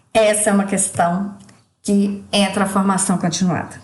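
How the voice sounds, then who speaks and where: A woman's medium-pitched voice amid audible room echo. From Brazil, Minas Gerais (Ituiutaba). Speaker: teacher. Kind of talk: recorded course assignment presentation.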